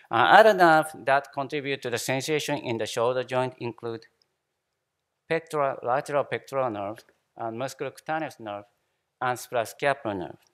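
A man talks in a Japanese accent with ordinary pitch variation. The background is quiet. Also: big swings in loudness. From Japan, Shimane. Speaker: anesthesiologist, professor. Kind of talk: conference lecture. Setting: conference hall with audience. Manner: halting, many fillers and repetitions. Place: hall.

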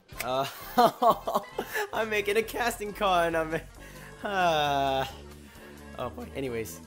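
The speech goes at a fairly slow pace with long, frequent pauses. Music plays in the background. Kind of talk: casting call announcement read, bloopers. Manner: joking, teasing.

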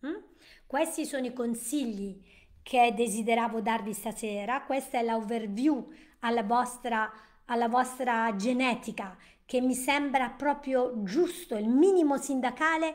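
A woman speaks in a high pitch with ordinary pitch variation. Her pace is fairly slow, and the background is quiet. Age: 60s. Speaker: nutrition and wellness educator; wellness educator. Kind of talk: live-stream presentation. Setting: live stream. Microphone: webcam.

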